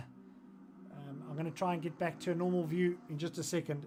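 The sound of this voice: At a moderate pace, a raspy put-on character voice speaks at a middle pitch.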